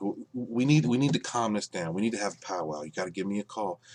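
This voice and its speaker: A man speaks quietly, his pitch fairly low with ordinary variation. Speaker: YouTube commentator. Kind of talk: casual vlog rant. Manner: quiet, keeping voice down.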